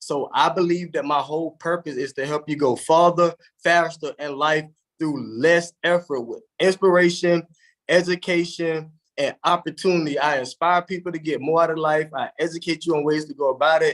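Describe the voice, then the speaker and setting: On a very clean recording with a silent background, a man talks in a Southern US accent. His fairly high voice moves at a moderate pace with fairly even intonation. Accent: Southern US (Georgia). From US South, south Georgia. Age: 30s. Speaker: motivational speaker. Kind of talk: motivational talk. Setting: live stream.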